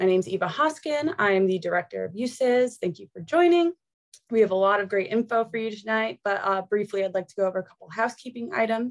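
A woman talks at a very fast pace with lively intonation and big swings in loudness. The background is quiet. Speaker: webinar host. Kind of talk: webinar introduction and housekeeping. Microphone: video call.

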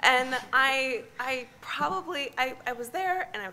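With an American accent and lively intonation, a woman talks over light background noise. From US Midwest, near Chicago. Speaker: climate scientist; conference presenter. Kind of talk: conference talk. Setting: stage with audience. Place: hall. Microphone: podium.

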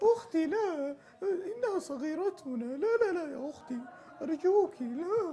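Clear background noise accompanies a put-on character voice pitched extremely high and delivered at a fairly slow pace. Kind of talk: performed character voice imitation. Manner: pleading. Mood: pleading, dramatic.

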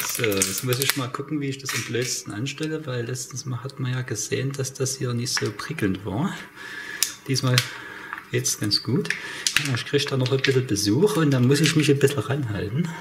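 Through loud background noise, a man talks at a moderate pace with ordinary pitch variation. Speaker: home cooking vlogger. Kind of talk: casual cooking tutorial chat. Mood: joking, ironic. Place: kitchen.

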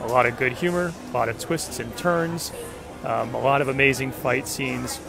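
Over clear music in the background, a man speaks at a moderate pace with ordinary pitch variation, the sound dry with no echo. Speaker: fan vlogger. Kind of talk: casual vlog chat. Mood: excited, upbeat. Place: street. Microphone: phone near.

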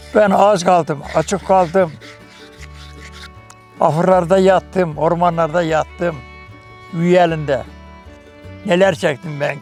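Music plays in the background as a man speaks in a high pitch at a very slow pace, with long, frequent pauses. His intonation is fairly even, while his loudness swings widely. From Ordu, Turkey. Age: 80s+. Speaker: wooden spoon craftsman. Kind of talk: interview answer. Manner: friendly, good-humoured.

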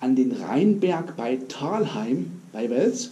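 A man is talking. His voice swings very widely in pitch. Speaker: urbex video creator. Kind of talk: casual vlog chat. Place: tunnel cave. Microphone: camera far.

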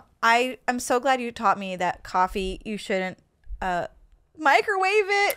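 On a very clean recording with a silent background, a woman with a high pitch, a bright, sharp tone and very wide pitch swings speaks at a fairly slow pace. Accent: American. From upstate New York. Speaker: comedian and podcast host. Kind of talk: casual interview chat.

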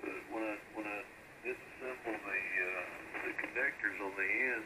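There is loud background noise. Through it, a man speaks at a fairly slow pace. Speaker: amateur radio operator. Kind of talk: casual radio chat.

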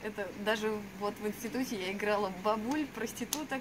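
Amid noticeable background noise, a woman talks at a moderate pace in a fairly high pitch with fairly even intonation. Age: 20s. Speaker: actress. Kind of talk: self-presentation. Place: street. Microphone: camera far.

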